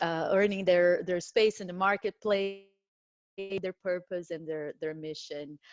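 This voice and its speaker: A woman speaks with a Brazilian Portuguese accent over a quiet background. Her pace is fairly slow and her intonation fairly even. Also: medium pitch for a woman, dry, close sound with no echo. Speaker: diversity director and career coach. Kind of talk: panel discussion. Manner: halting, many fillers.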